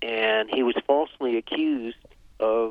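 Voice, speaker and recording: A man speaks with an American accent at medium pitch. He has a normal speaking voice and fairly even intonation. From US Northeast (Vermont). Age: 60s. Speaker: author and survival expert. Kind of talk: interview.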